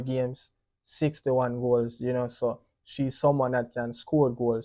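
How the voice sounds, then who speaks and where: A man with a Jamaican accent, monotone and flat, at a fairly slow pace. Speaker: football pundit. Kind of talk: solo sports preview commentary. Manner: casual, frequent 'you know' fillers.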